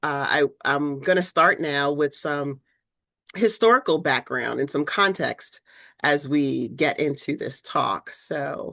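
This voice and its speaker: Against a quiet background, a woman with a very deep, low voice talks at a fairly slow pace with ordinary pitch variation. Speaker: research scientist, keynote speaker. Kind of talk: lecture. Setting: video call.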